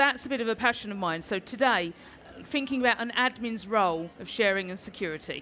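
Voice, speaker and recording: Her voice fairly high, a woman speaks in a bright, sharp, enthusiastic tone. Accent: British. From London, England. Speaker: Salesforce instructor and conference speaker. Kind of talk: conference talk. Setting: stage with audience.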